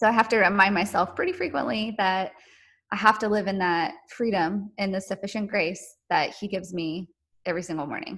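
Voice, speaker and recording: Over a quiet background, a woman with an American accent talks at a fairly quick pace in an unremarkable speaking voice, her medium pitch moving with ordinary variation. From North Carolina. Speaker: podcast guest sharing infertility story. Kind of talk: testimony.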